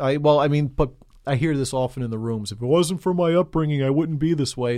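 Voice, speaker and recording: A man talks fairly quickly with an American accent and a dark, mellow tone. His pitch varies in an ordinary way against a quiet background. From New York City (Queens). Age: 30s. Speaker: recovering alcoholic. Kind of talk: testimony.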